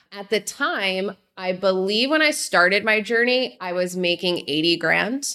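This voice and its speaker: A woman with an American accent talks fairly slowly at a medium pitch, with lively intonation and hardly any pauses. It is an ordinary speaking voice. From New Jersey, Jersey Shore. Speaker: conference founder. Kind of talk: interview.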